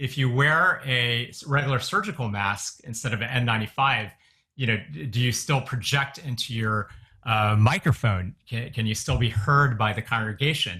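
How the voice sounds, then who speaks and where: A man talks loudly at a moderate pace, his medium-pitched voice bright and sharp. His pitch varies in an ordinary way. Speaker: physician advising churches. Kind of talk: webinar Q&A. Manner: loud and boisterous; many fillers, hesitant restarts.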